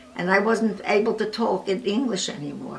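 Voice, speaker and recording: A woman with an American accent at a moderate pace, with audible room echo and noticeable background noise. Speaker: oral history interviewee. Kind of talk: oral history interview.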